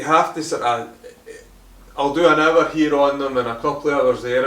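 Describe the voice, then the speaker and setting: With a Scottish accent, a man talks at a medium pitch and with fairly even intonation, amid noticeable background noise and audible room echo. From Scotland, Hamilton near Glasgow. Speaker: car detailing YouTuber. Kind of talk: Q&A video, casual chat.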